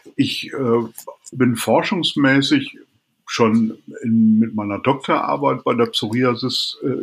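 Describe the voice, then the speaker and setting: A man speaks at a very slow pace, and his pitch varies in an ordinary way. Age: 50s. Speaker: dermatologist. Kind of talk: interview.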